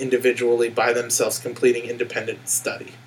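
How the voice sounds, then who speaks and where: There is noticeable background noise as a man talks at a fairly quick pace. His intonation stays fairly even. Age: 20s. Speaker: school teacher. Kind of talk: casual chat.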